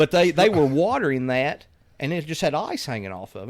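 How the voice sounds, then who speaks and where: In a very clean recording with a silent background, a man with a Kentucky accent talks at a fairly quick pace and a fairly high pitch. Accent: southern US (Kentucky). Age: 40s. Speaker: podcast host. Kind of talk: casual chat.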